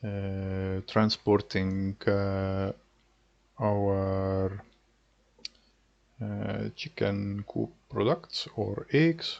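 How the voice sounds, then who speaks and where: Taking long, frequent pauses, a man speaks at a very slow pace. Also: fairly low pitch for a man, ordinary pitch variation. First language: not English. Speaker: gaming youtuber. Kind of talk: gameplay commentary. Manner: halting, many filler words.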